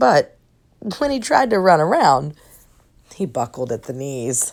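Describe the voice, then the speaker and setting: A put-on character voice, raspy and full of lively intonation, moves along at a moderate pace. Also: woman, very deep, low pitch for a woman. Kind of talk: bedtime story read-aloud. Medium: read story.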